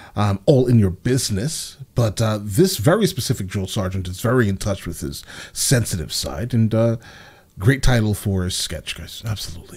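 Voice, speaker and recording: A man speaks with lively intonation at a fairly low pitch. His voice is somewhat breathy, over a quiet background. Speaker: reaction video host. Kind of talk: casual reaction commentary. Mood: upbeat, amused. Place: home room. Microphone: studio mic.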